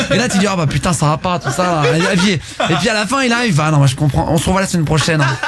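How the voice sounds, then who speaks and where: The speaker talks at a very fast pace with hardly any pauses, an animated tone and lively intonation, at very even loudness. Noticeable background noise runs underneath. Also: man, high pitch for a man. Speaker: radio host. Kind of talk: casual live radio talk show. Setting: radio studio.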